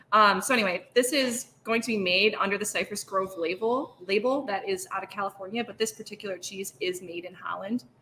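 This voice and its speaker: A woman with an American accent talks at a fairly quick pace with hardly any pauses. Her loudness swings widely, and there is noticeable background noise. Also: medium pitch for a woman, ordinary pitch variation. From Michigan, US. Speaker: cheesemonger. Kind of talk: casual chat.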